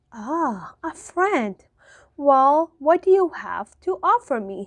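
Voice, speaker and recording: In a put-on character voice, a woman speaks very slowly at a high pitch, croaky and raspy, with very wide pitch swings. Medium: read story. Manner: crafty, menacing.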